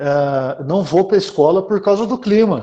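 This man has a dark, mellow tone and lively intonation. He talks at a fairly slow pace. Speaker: podcast host. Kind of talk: casual chat.

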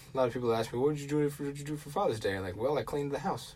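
A man with a fairly high pitch talks at a very fast pace with ordinary pitch variation over noticeable background noise. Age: 20s. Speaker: podcast host. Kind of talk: casual solo talk. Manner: hesitant, many fillers.

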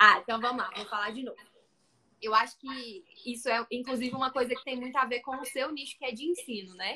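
A woman with a high pitch and a bright, sharp tone talks at a fairly quick pace with fairly even intonation and big swings in loudness. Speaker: live stream host for photographers. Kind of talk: interview on live stream.

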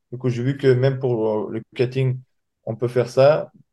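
Fairly slow and fairly even in intonation, a man's voice carries a dark, mellow tone. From Dagestan, Russia. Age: young. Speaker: MMA fighter. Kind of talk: interview.

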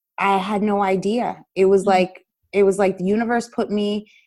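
A woman speaks at a medium pitch with a New Jersey accent. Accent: New Jersey American. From US, Paterson, New Jersey. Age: 30s. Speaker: dance educator. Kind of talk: interview.

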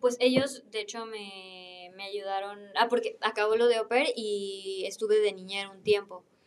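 Speaking at a fairly slow pace with hardly any pauses, a woman with a Mexican accent keeps her intonation fairly even while her loudness swings widely. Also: medium pitch for a woman. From Mexico. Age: 20s. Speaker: former au pair. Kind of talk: casual interview.

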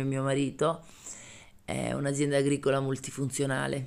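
A woman's voice at a very deep, low pitch. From Calabria, Aspromonte. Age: 40s. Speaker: farmer. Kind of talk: personal testimony. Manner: hesitant, with many fillers and repetitions.

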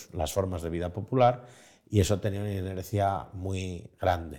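Recorded very cleanly against a silent background, a man speaks at a fairly low pitch. His tone is dark and mellow, with ordinary pitch variation. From Spain. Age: 40s. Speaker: journalist and writer. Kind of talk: interview conversation. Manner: halting.

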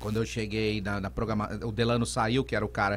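This man speaks with a fairly low pitch. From Brazil, São Paulo state (Vale do Paraíba, Aparecida / São José dos Campos). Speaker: radio presenter and DJ. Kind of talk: casual interview.

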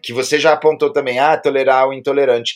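The talking moves fairly quickly. Behind it, music can be heard. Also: man. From Brazil. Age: 50s. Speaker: internet commentator and teacher. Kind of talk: casual interview.

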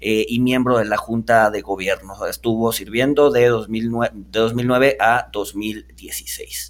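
On a very clean recording against a silent background, a man speaks. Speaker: podcast host. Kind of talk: interview. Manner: halting.

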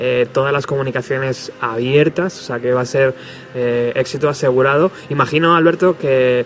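Over music in the background, a man talks at a moderate pace in a medium pitch with fairly even intonation. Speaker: radio host. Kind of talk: radio show with interviews.

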